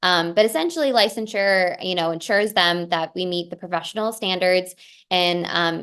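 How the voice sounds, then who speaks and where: A woman's fairly low voice at a fairly quick pace, fairly even in intonation, against a quiet background. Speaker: dietitian presenting advocacy training. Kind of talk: webinar presentation. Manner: fast; frequent fillers (um).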